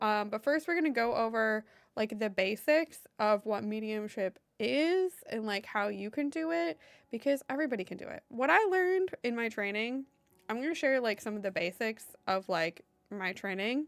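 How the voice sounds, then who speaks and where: A woman talks at a moderate pace with a fairly high pitch. Her pitch swings very widely. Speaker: psychic medium streamer. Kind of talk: live stream teaching. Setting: live stream.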